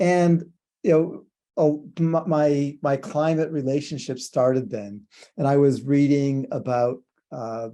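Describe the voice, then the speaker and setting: A man's fairly high, dark and mellow voice, fairly slow, with ordinary pitch variation over a quiet background. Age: 60s. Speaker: physicist. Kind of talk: fireside chat interview. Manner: halting, many fillers and repetitions.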